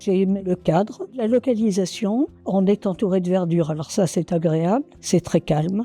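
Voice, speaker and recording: Music plays in the background as a woman speaks at a fairly slow pace, the sound dry and close with no echo. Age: 80s+. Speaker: retirement home resident. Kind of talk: testimonial interview. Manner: hesitant, with fillers.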